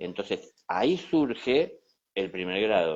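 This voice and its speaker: A man speaks at a fairly slow pace in a normal speaking voice. The background is quiet. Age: 60s. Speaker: spiritual teacher. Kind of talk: conversational teaching talk. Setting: Instagram live conversation.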